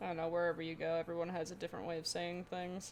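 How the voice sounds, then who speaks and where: A fairly low-pitched woman with an American accent, monotone, flat intonation and a fairly quick pace, music in the background. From Pennsylvania, later Florida. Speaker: streamer and digital artist. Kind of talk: casual live stream chat.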